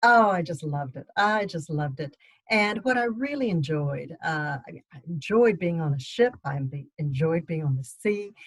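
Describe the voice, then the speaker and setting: A woman speaks with a slight Texas accent in a somewhat breathy voice. Her pitch swings very widely, and her loudness swings a lot too. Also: fairly low pitch for a woman, moderate pace, hardly any pauses. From Texas, Austin. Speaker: novelist. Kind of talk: book club talk.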